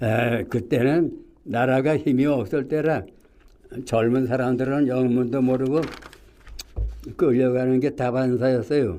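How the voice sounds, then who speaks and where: Pausing long and often, a man speaks at a very slow pace and a medium pitch with fairly even intonation. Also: very even loudness. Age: 90s. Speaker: war veteran. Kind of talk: testimony. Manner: halting.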